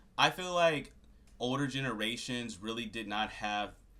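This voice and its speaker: A man speaks with a bright, sharp tone. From Louisiana. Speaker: YouTuber. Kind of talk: casual rant to camera. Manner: casual, filler-heavy.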